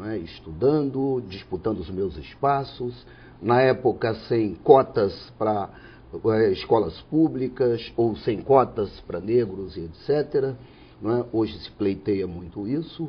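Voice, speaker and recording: Very slow and somewhat breathy, a man speaks at a medium pitch with lively intonation and big swings in loudness. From Espírito Santo, Brazil (Alegre, then Vitória area). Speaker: judge. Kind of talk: interview.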